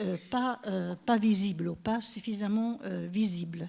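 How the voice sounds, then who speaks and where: A woman's medium-pitched voice, somewhat breathy, with a dark, mellow tone. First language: Italian (speaking French). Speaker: professor. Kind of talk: conference talk. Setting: stage with audience. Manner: halting.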